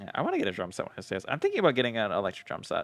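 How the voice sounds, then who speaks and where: A man with an American accent speaks at medium pitch as music plays in the background. The sound is dry and close with no echo. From United States. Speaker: streamer building model kits. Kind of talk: casual livestream chat.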